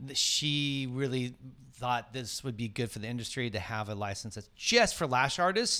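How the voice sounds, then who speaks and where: Against a silent background in a very clean recording, a man speaks with a bright, sharp tone and ordinary pitch variation. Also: medium pitch for a man, moderate pace. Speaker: podcast co-host interviewer. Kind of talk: casual interview chat.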